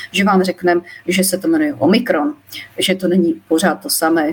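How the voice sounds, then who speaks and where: There is noticeable background noise as a woman speaks. Her pace is fairly quick and her intonation lively. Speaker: molecular biologist. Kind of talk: live-stream interview. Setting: live Facebook stream. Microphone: poorer audio quality.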